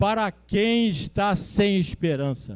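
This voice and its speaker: A man's high-pitched speech carries lively intonation. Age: 70s. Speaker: pastor. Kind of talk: sermon. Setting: church.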